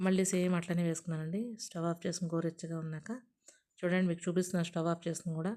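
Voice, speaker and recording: A woman's fairly low-pitched voice, dark and mellow in tone, with a monotone, flat intonation. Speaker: cooking channel host. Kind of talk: cooking tutorial. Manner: dull, low-energy delivery.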